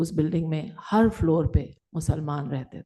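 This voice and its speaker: A woman speaks at a moderate pace in a very deep, low voice with a dark, mellow tone. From Delhi, India. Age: 60s. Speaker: writer, panel speaker. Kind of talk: panel talk. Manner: conversational, code-switching Hindi and English.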